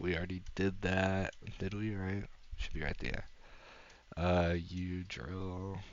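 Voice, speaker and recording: Very slow speech with audible room echo. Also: man. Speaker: YouTuber ranking songs. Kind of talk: casual commentary. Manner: halting, many fillers.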